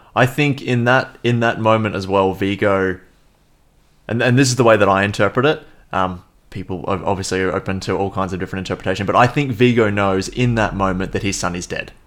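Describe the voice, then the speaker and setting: In a very clean recording with a silent background, a man with an Australian accent speaks at a fairly quick pace and fairly low pitch, with ordinary pitch variation. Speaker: podcast co-host, film reviewer. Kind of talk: casual chat.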